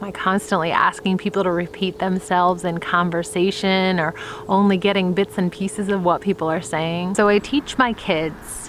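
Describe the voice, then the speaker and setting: This woman talks with an American accent at a medium pitch and moderate pace. Her intonation stays fairly even. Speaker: vlogger and homeschooling mom. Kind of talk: personal vlog talk to camera. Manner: loud.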